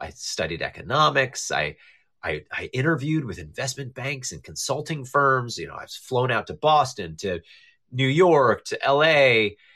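Medium-pitched male voice with a bright, sharp tone and vocal fry, at a moderate pace over a quiet background. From northern New Jersey. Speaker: improv teacher and comedic actor. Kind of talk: casual interview. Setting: video call on a social audio app.

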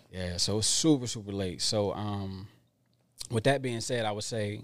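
A man with an American accent has a plain, everyday voice at a fairly low pitch. He speaks at a moderate pace with ordinary pitch variation. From Philadelphia area, Pennsylvania. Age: 30s. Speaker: podcast guest, dating talk. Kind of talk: casual chat. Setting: studio.

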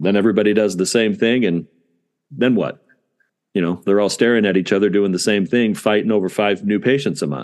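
In an American accent, a man with a fairly low pitch and an ordinary speaking voice talks at a fairly quick pace with ordinary pitch variation. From Southern California. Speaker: dentist and practice owner. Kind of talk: interview.

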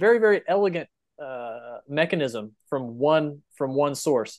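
A man with a fairly high pitch, ordinary pitch variation and an American accent, an unremarkable speaking voice against a quiet background. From Texas Panhandle. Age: 30s. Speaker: rancher. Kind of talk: casual chat.

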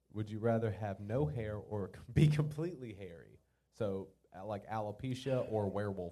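A man with a dark, mellow tone and fairly low pitch speaks at a moderate pace, his intonation lively and his loudness rising and falling sharply. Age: 20s. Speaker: podcast host. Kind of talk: casual chat. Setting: live venue with small audience.

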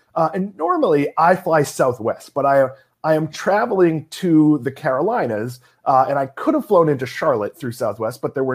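A man with a normal speaking voice talks in a fairly high pitch with lively intonation. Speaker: investing podcast host. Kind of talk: casual chat about investing news. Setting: remote recording, host at home in Florida.

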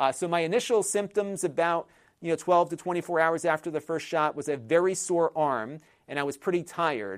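In a plain, everyday voice, a man speaks at a fairly quick pace and a fairly high pitch with ordinary pitch variation. The recording is very clean, dry and close with no echo, and the background is silent. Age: 40s. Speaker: tech video creator. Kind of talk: casual vlog monologue.

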